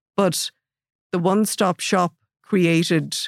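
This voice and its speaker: In a very clean recording with a silent background and a dry, close sound with no echo, a woman with an Irish Midlands accent speaks at a moderate pace and a fairly low pitch. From Ireland, Athlone. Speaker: data protection regulator. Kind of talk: interview. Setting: studio.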